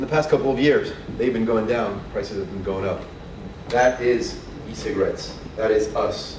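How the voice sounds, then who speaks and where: A man with long, frequent pauses amid noticeable background noise and audible room echo. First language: French. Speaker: trade association representative. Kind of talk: conference presentation. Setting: conference stage with audience. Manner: fast; hesitant, many fillers.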